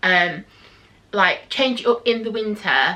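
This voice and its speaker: Noticeable background noise fills the recording. Over it, a woman speaks with fairly even intonation. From England, Nottinghamshire. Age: 30s. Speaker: beauty vlogger. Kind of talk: casual chat. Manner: rambling, hesitant with many ums.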